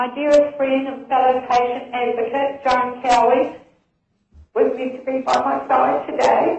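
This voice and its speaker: A woman's high-pitched voice, fairly even in intonation, at a fairly slow pace with audible room echo. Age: 60s. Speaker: medicinal cannabis patient advocate. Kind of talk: formal submission. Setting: phone call.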